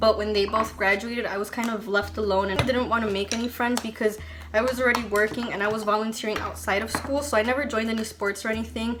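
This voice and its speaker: A woman's fairly high, monotone voice at a very fast pace, flat in intonation, over noticeable background noise. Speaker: beauty vlogger. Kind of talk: makeup tutorial with casual chat. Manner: says um a lot.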